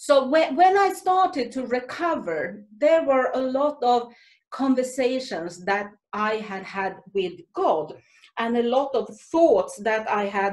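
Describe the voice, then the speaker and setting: A woman with a Swedish accent speaks at a very slow pace and a high pitch, making very wide pitch swings. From Sweden. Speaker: Salvation Army officer and author. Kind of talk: talk to a women's group. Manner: halting.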